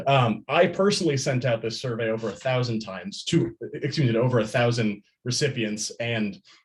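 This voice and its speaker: This man's voice sits at a medium pitch and sounds somewhat breathy. He keeps a moderate pace with ordinary pitch variation. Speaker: college student presenting internship. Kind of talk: student presentation. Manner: halting, with repetitions.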